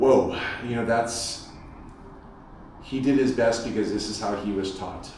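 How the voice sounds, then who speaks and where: With an American accent, the speaker holds a monotone, flat intonation amid noticeable background noise and audible room echo. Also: man. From United States, first-generation American. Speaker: Olympic swimmer and workshop speaker. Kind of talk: parent workshop talk. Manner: repetitive, stammering restarts.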